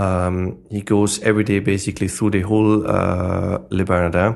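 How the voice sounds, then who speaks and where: Here a man speaks with an Austrian accent at a moderate pace. His fairly low voice has monotone, flat intonation. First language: German. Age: 40s. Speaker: sommelier. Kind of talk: interview.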